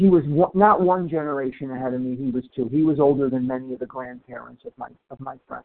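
A man's very fast, nearly pause-free speech with ordinary pitch variation and big swings in loudness. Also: medium pitch for a man. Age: 60s. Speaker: twelve-step meeting member. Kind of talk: testimony.

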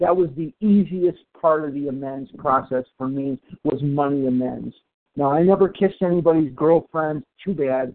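A man talks in an ordinary speaking voice at a moderate pace. His pitch is fairly high. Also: ordinary pitch variation. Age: 60s. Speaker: twelve-step meeting member. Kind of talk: testimony.

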